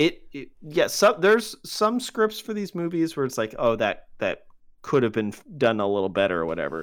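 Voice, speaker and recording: The moderate-paced speech is captured in a very clean recording with a silent background. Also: man. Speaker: podcast co-host. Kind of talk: casual banter, movie review podcast.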